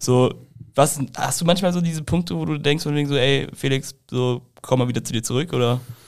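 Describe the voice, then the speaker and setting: Here a man talks at a fairly quick pace. His voice is fairly high, and it's an unremarkable speaking voice. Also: ordinary pitch variation. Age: 20s. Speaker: podcast co-host. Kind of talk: casual interview. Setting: studio.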